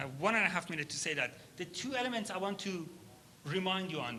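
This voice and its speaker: Over noticeable background noise, a man with a high pitch and lively intonation speaks at a fairly quick pace in a raised, projected voice. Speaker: workshop facilitator, startup founder. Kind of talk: workshop instruction. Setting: conference hall with audience at tables. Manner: fast.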